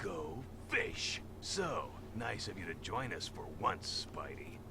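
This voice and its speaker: A man's put-on character voice at a fairly slow pace over loud background noise. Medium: machinima. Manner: gruff, sarcastic.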